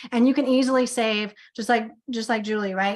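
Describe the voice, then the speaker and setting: A fairly high-pitched woman speaks with fairly even intonation. The background is quiet. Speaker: business coach. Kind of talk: sales pitch. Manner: fast.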